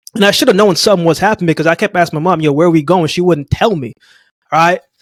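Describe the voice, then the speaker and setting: The recording of this man's voice is dry and close, with no echo. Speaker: podcast host, motivational speaker, former sprinter. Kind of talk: casual interview chat. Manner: animated.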